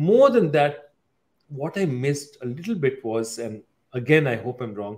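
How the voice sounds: Here a man of medium pitch speaks at a fairly slow pace. His intonation is lively.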